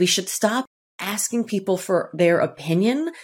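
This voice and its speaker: Using a normal speaking voice, a woman talks at a moderate pace with lively intonation. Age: 50s. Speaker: author and keynote speaker. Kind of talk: casual chat.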